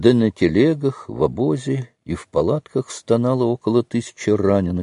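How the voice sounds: A natural reading voice is heard. Nothing else sounds behind it, as the background is quiet.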